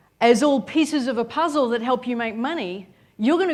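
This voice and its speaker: Speaking in an Australian accent, a woman sounds animated and energetic at a moderate pace and high pitch, with ordinary pitch variation on a very clean recording with a silent background. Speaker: business coach, seminar speaker. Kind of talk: motivational seminar talk. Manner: animated, energetic.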